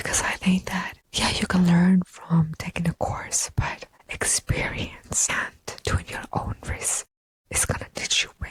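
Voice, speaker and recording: A woman whispers at a fairly slow pace with big swings in loudness, in a dry, close sound with no echo. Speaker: fitness competitor and personal trainer. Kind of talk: ASMR podcast monologue. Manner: whispered, inaudible style.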